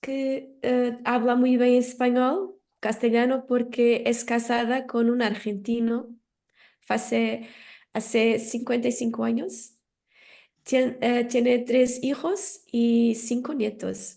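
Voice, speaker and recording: Speech unfolds at a very slow pace. Its tone comes across as dark and mellow. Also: woman, high pitch for a woman. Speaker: conference moderator. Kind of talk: formal introduction of speaker. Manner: hesitant, many fillers.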